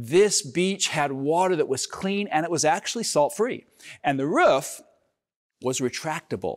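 The intonation is lively at a fairly slow pace. It is a very clean recording with a silent background. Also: man, high pitch for a man. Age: 50s. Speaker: pastor. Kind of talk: sermon.

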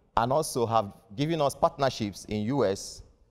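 A man talks at a moderate pace. The pitch moves up and down in an ordinary way. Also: quiet background. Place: studio. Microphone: lapel.

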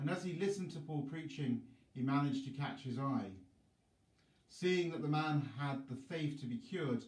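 A man at a moderate pace, somewhat breathy, with ordinary pitch variation and audible room echo. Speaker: priest. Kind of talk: scripture reading.

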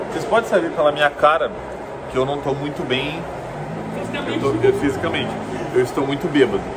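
Loud background noise surrounds the recording. A man talks with ordinary pitch variation. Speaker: vlogger. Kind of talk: casual vlog chat. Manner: drunk, slow slurred speech. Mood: drunk, slurred, self-mocking. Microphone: phone near.

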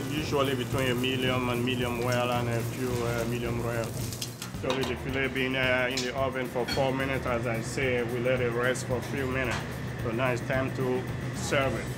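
A man keeps a moderate pace while music plays in the background. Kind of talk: interview answer. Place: kitchen.

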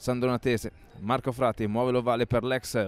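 A man speaks in an excited tone. The sound is dry and close with no echo, on a very clean recording with a silent background. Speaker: rugby match commentator. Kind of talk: live rugby commentary. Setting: stadium press box, live match. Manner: fast, rapid-fire play-by-play; excited, rising intensity on tries.

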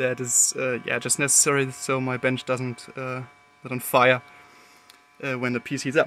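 A man speaks with music playing in the background. The sound is dry, with no echo. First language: German. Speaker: electronics hobbyist. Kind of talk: unscripted technical demo talk to camera. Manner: hesitant, many filler words. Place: workshop. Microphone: phone near.

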